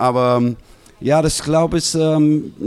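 There is noticeable background noise as a man with an English accent speaks in a fairly high pitch with fairly even intonation. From US West Coast (Los Angeles). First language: English (speaking German). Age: 50s. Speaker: basketball assistant coach. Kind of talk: live podcast interview. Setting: live audience in a restaurant.

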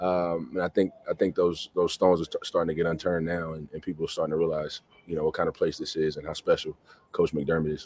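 Recorded dry and close with no echo, a man with an American accent speaks at a very fast pace. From US South. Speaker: college basketball assistant coach. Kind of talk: interview.

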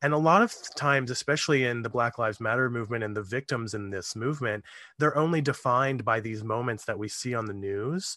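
A man with a medium-pitched, bright, sharp voice talks at a very fast pace with hardly any pauses. His pitch varies in an ordinary way against a quiet background. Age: 30s. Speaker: true crime podcaster. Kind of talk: casual chat.

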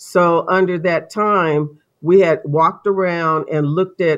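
A woman with a fairly low pitch and a normal speaking voice is heard against a quiet background. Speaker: homeowners association representative. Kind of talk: courtroom testimony.

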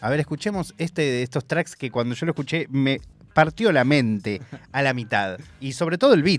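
Speaking in a Rioplatense accent, a man with a fairly high pitch uses lively intonation at a moderate pace. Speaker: radio host. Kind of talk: casual radio talk. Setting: radio studio. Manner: rambling.

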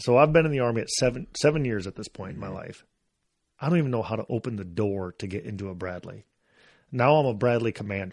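Against a quiet background, a man speaks at a very fast pace with lively intonation. His pitch is medium, and his loudness swings widely. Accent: American. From US Midwest, northeast Iowa. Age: 40s. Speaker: army veteran, sniper. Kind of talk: casual chat.

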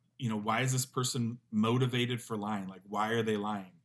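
A man with an ordinary speaking voice, medium in pitch, at a fairly quick pace with ordinary pitch variation. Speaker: professor. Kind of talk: casual interview chat.

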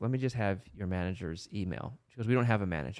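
A man with an unremarkable speaking voice talks at a fairly low pitch and a fairly quick pace, with ordinary pitch variation. The recording is very clean, with a silent background. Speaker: podcast co-host. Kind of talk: casual chat.

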